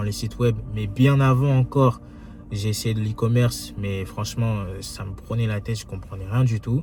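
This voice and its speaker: Over music in the background, a man speaks at a moderate pace with a fairly low pitch and fairly even intonation. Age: 20s. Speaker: young entrepreneur, YouTuber. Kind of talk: casual vlog monologue. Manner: hesitant, many fillers.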